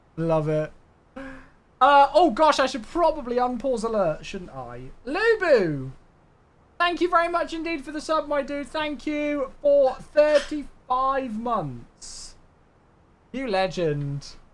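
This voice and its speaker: Speaking in a British accent at a very slow pace, a man with an extremely high pitch uses lively intonation and big swings in loudness. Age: 20s. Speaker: flight sim streamer. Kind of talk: casual live stream chat. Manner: animated.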